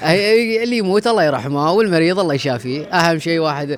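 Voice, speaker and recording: The intonation rises and falls in a lively way. Noticeable background noise runs underneath. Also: man. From Gulf states. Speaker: content creator. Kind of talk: interview.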